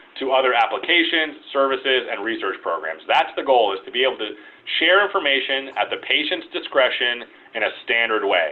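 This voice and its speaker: The speaker is a man with a medium pitch. His intonation is lively. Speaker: health IT regulatory presenter. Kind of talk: presentation. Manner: fast; hesitant fillers.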